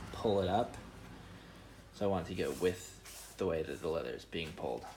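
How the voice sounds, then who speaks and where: In a room with audible echo, a man with a very deep, low pitch speaks at a moderate pace with ordinary pitch variation. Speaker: shoemaking video maker. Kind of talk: casual tutorial. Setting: garage workshop. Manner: rambling, casual. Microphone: voice muffled by dust mask.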